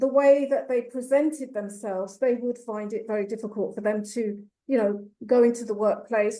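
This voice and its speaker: A woman with an English accent, moderate pace and a dark, mellow tone. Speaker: youth mentoring program founder. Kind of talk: panel discussion.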